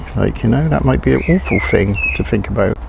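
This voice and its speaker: A man speaks over noticeable background noise. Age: 60s. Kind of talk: casual talk to camera. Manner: hesitant, conversational.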